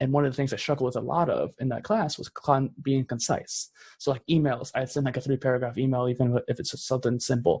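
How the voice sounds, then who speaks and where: At a very fast pace with hardly any pauses, a man talks in a medium, somewhat breathy voice with fairly even intonation, the sound dry and close with no echo. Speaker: podcaster and entrepreneur. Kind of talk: podcast conversation.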